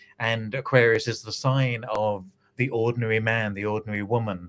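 At a moderate pace, a man speaks with fairly even intonation. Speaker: guest. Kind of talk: interview answer. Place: home room.

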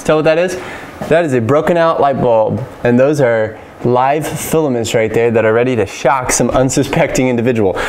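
A man at a moderate pace with ordinary pitch variation and light background noise. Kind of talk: client consultation and tutorial commentary. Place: home room.

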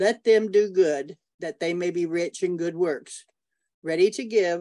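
A woman with an unremarkable speaking voice, fairly low pitch, and a fairly slow pace against a quiet background. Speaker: student. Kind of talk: prayer. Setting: video call. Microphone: video call.

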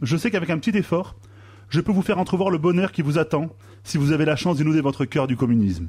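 Very fast speech with vocal fry and lively intonation keeps a very even loudness against a quiet background. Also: man. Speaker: radio columnist. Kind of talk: comedic column. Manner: sarcastic. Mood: ironic, playful persuasion. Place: studio.

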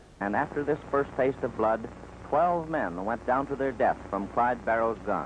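Here a man with a normal speaking voice talks at a moderate pace, his medium pitch showing ordinary variation. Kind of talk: newsreel narration.

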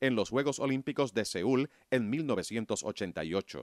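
A man's medium-pitched voice with vocal fry, dry and close with no echo, on a very clean recording against a silent background. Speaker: documentary narrator. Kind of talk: sports documentary narration, scripted and read aloud. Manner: measured, formal, steady pace; informative, even-toned, briskly listing results.

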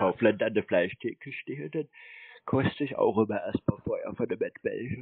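At a moderate pace and with ordinary pitch variation, a man talks in a fairly low pitch with a slightly husky edge.

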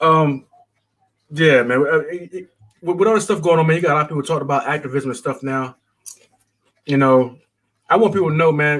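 A man with an American accent speaks at a fairly quick pace and a fairly high pitch, with ordinary pitch variation. His long, frequent pauses sit against a quiet background. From United States. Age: 40s. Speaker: caller. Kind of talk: casual chat. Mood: relaxed, joking at times. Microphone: video call.

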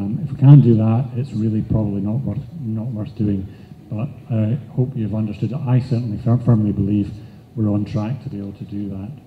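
A man with a Scottish accent speaks at a fairly quick pace in a fairly low, dark, mellow, somewhat breathy voice. His loudness swings widely over light background noise. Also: ordinary pitch variation. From Scotland. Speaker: nonprofit chief executive; conference presenter. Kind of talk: conference presentation. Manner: halting, with fillers. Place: hall.

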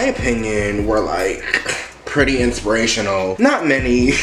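A man is speaking with audible room echo. Light background noise is also present. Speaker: vlogger. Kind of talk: casual vlog chat. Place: kitchen. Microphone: phone near.

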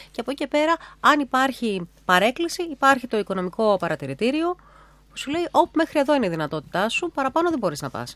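Pitch leaps across a very wide range as the words come out very fast, and the sound is dry with no echo. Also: woman, high pitch for a woman. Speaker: radio host. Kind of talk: radio interview. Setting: radio studio. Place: hall. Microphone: podium.

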